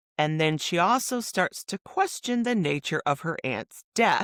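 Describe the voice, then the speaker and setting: A woman with a Midwestern American accent speaks at a fairly slow pace with lively intonation, the sound dry and close with no echo. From Michigan, USA. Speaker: author and podcaster. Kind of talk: interview answer.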